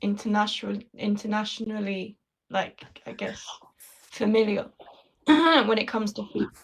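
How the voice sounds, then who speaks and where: A woman speaks at a medium pitch in a London accent. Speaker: conversation partner. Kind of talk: casual chat.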